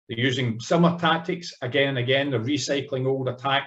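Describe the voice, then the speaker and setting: A man with a Scottish accent at a moderate pace, with ordinary pitch variation. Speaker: cybersecurity executive, former police officer. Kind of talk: conference panel talk. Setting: conference panel session. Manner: formal.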